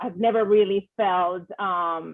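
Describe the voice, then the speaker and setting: The speaker is a woman with a medium pitch. Her intonation stays fairly even. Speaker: engineer, corporate manager. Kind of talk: panel discussion. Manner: loud.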